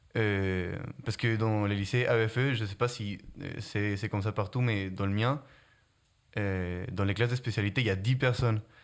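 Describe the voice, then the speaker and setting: With a slight non-native accent, a man speaks at a moderate pace in a fairly low pitch and fairly even intonation, on a very clean recording with a silent background. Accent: slight foreign. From Guatemala. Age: young. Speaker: student. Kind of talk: interview. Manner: hesitant, many fillers.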